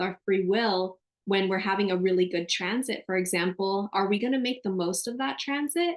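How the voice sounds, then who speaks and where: At a medium pitch and a moderate pace, a woman speaks in an animated tone with ordinary pitch variation. She leaves hardly any pauses. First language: Spanish. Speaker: astrologer. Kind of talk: casual interview chat.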